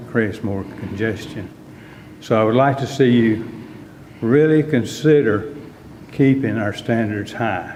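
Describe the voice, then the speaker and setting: A man with a Texan accent, medium pitch and ordinary pitch variation, at a moderate pace, amid noticeable background noise and audible room echo. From Texas, Dallas area. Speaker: resident speaking at public comment. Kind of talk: public comment at council meeting. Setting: city council meeting.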